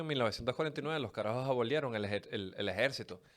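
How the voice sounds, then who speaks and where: A man with a Venezuelan accent, medium pitch and ordinary pitch variation, at a very fast pace, on a very clean recording with a silent background. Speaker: podcast host. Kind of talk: casual podcast monologue. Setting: studio. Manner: animated, colloquial.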